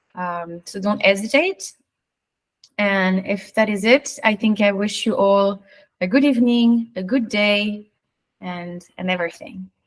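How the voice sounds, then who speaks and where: A woman speaks at a fairly slow pace in a medium pitch. Hers is a plain, everyday voice. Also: ordinary pitch variation. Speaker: AMA moderator. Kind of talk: live AMA Q&A.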